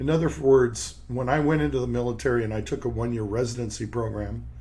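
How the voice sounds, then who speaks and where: With audible room echo around him, a man speaks very fast. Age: 60s. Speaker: periodontist and podcast host. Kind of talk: podcast monologue. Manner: halting, with repeated words.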